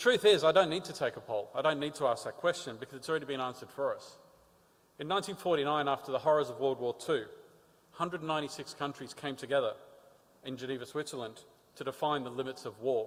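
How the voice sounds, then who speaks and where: Big swings in loudness run through a man's fairly high voice as he speaks at a very fast pace with ordinary pitch variation. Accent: Australian. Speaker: patient advocate with type 1 diabetes. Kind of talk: conference talk. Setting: stage with audience.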